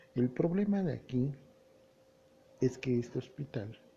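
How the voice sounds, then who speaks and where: Somewhat breathy, a man speaks in a dark, mellow tone. His pace is fairly slow. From Mexico, Puebla (Tehuacán area). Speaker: solo news podcaster. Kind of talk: solo news commentary.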